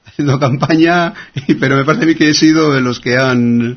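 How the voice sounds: At a fairly quick pace, a man speaks at medium pitch with ordinary pitch variation.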